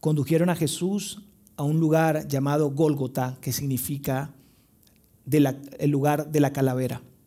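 A man's voice has a dark, mellow tone. He talks fairly slowly. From Venezuela, Maracaibo (Zulia). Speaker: pastor. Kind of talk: sermon. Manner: animated storytelling.

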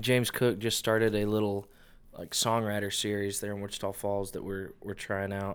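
A man with an American accent talks at a moderate pace in a normal speaking voice of fairly low pitch. The recording is very clean, with a silent background. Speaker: musician. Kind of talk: casual chat.

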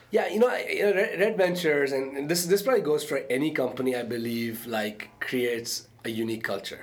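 Over noticeable background noise, a man speaks at a moderate pace with hardly any pauses. His fairly high voice makes very wide pitch swings. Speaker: entrepreneur and startup investor. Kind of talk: interview conversation.

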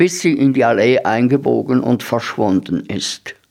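With vocal fry and lively intonation, a man at medium pitch speaks at a very slow pace in a very clean recording with a silent background. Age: 70s. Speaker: radio host. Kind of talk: reading aloud; radio show presentation.

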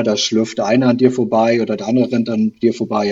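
Here is a man at a medium pitch with a plain, everyday voice. He talks at a fairly quick pace. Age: 40s. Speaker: amateur runner, listener. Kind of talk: casual interview.

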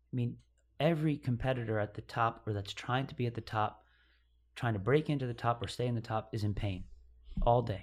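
A man with an American accent talks at a fairly quick pace in a medium pitch, somewhat breathy, with ordinary pitch variation. He leaves long, frequent pauses, and the recording is very clean with a silent background. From upstate New York. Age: 30s. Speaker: CrossFit athlete. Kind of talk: casual chat.

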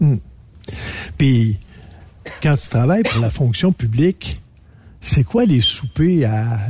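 Somewhat breathy and dark, mellow in tone, a man with a medium-pitched voice speaks at a very slow pace with lively intonation. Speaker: radio columnist, former chef. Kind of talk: casual chat.

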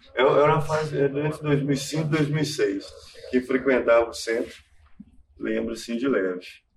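This man's somewhat breathy voice has ordinary pitch variation. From Contagem, Minas Gerais, Brazil. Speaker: graphic artist and street artist. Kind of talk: talk with slides. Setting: university auditorium. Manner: halting.

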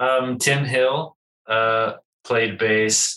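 The man's tone comes across bright and sharp. His intonation stays monotone and flat. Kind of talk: interview. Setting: video call.

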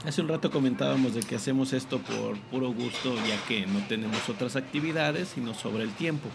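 Amid audible room echo and noticeable background noise, a man talks at a fairly quick pace with hardly any pauses, his medium pitch showing ordinary variation. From Zacatecas, Mexico. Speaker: podcast host, teacher. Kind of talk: casual chat. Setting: café.

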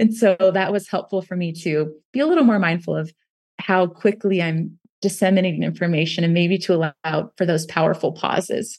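A woman with a plain, everyday voice, fairly low in pitch, at a fairly quick pace with fairly even intonation. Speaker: university instructor and author. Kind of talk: casual interview conversation.

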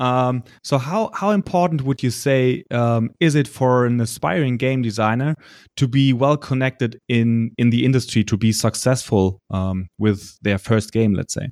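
A man with a German accent speaking with hardly any pauses, in a very clean, dry, close recording with a silent background and no echo. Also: medium pitch for a man, ordinary pitch variation, moderate pace. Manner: halting, hesitant with fillers.

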